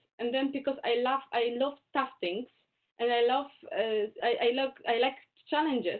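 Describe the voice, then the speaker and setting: A woman with a Polish accent speaks at a high pitch. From Poland. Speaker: Indologist and Hindi scholar. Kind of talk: webinar Q&A talk. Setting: video call. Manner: halting.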